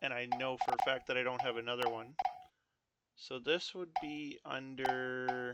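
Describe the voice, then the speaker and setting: The man's tone is bright and sharp, and his intonation stays fairly even. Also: medium pitch for a man, fairly slow pace. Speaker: game tutorial maker. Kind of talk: tutorial. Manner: halting, many fillers; casual.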